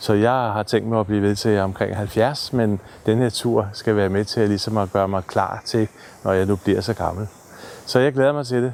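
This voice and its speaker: Fairly even intonation and very even loudness from a man with a fairly low pitch, at a moderate pace. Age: 60s. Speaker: therapy trek participant. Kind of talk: personal video diary. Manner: halting.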